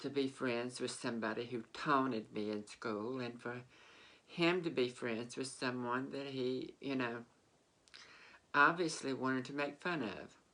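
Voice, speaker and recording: Very deep and low in pitch, a woman's voice has a bright, sharp tone, fairly even intonation and a fairly slow pace. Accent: Southern US. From Mississippi, US South. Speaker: vlogger. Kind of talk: personal storytelling. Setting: sitting on a bed. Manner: halting.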